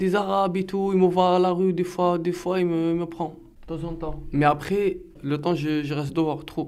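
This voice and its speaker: A high-pitched man speaks at a moderate pace in a monotone with flat intonation. Audible room echo fills the recording. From Algeria, Algiers. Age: 20s. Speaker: defendant. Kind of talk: testimony. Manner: halting.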